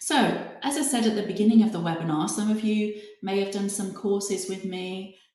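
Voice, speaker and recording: Audible room echo fills the recording. A woman speaks with a British accent. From UK. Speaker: hypnotherapy trainer. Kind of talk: webinar presentation. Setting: online webinar.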